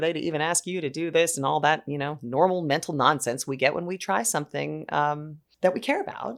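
A woman speaks with vocal fry at a fairly quick pace. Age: 40s. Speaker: clinical psychologist. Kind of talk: interview.

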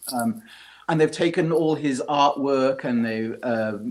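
A man speaks with a British accent. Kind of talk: casual chat.

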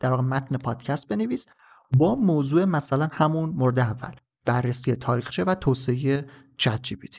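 His voice somewhat breathy, a man talks with lively intonation. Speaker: podcast host. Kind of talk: solo tech podcast monologue.

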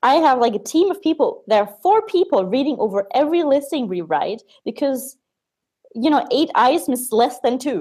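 A woman with a German accent speaks in a dark, mellow tone at a high pitch, with very wide pitch swings. The recording is very clean, with a silent background. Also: moderate pace. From Germany. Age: 20s. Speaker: Amazon agency owner. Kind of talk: casual interview.

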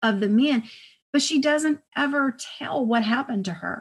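A woman with an American accent speaks with ordinary pitch variation and a somewhat breathy voice. The background is quiet. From Texas, El Paso. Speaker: author and historian. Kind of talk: interview.

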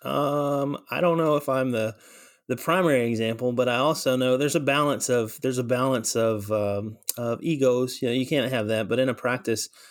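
A man uses a plain, everyday voice at a medium pitch with fairly even intonation. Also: moderate pace. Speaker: veterinary technician and program director. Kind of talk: interview. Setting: video call.

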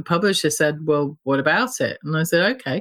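With a British accent and lively intonation, a woman speaks at a fairly quick pace in a dry, close sound with no echo. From UK. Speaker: gallerist and artist. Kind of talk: casual interview chat.

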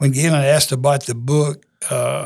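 A man with a Louisiana accent speaks at a moderate pace in a somewhat breathy voice, fairly high in pitch and flat in intonation. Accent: Southern US (Louisiana). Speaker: high school football coach. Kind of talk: interview. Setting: studio. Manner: humble.

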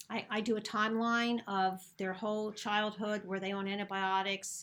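A woman with an American accent speaks in a monotone, flat intonation at a moderate pace and medium pitch. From Philadelphia, US. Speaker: naturopathic doctor and acupuncturist. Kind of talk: interview conversation about health.

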